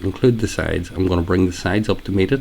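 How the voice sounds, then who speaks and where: A man speaks at a fairly quick pace in a very deep, low voice with ordinary pitch variation. His tone is relaxed, and there is noticeable background noise. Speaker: hairdresser. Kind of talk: haircut tutorial voiceover. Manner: casual, relaxed.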